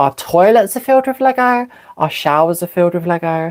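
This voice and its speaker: Fairly quick speech in a British accent. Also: woman. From England. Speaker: live streamer. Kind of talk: casual livestream chat. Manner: hesitant, many fillers.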